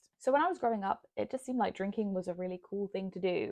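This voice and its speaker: There is a dry, close sound with no echo as a woman with a British accent talks very fast at a medium pitch. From UK. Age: 20s. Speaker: lifestyle vlogger. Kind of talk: personal storytelling to camera.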